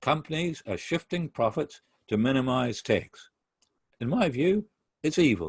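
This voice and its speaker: A man with a New Zealand accent, fairly high pitched and somewhat breathy, with very wide pitch swings, long and frequent pauses, and a dry, close sound with no echo. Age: 60s. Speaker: pastor. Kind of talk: lecture. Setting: video call. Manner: formal.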